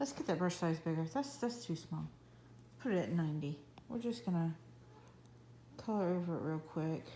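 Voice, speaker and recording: Somewhat breathy and with a dark, mellow tone, a woman's fairly low voice makes very wide pitch swings at very even loudness, broken by long, frequent pauses. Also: moderate pace. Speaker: coloring app tutorial creator. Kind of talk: tutorial. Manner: casual.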